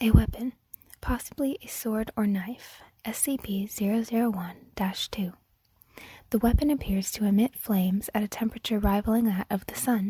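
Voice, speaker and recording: Soft-spoken and somewhat breathy, a woman with a fairly high pitch and a dark, mellow tone talks at a moderate pace with fairly even intonation, the sound dry and close with no echo. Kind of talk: ASMR story reading.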